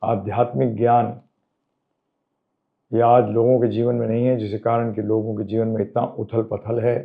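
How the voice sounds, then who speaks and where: A man talks at a medium pitch. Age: 70s. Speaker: spiritual teacher. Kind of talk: interview answers.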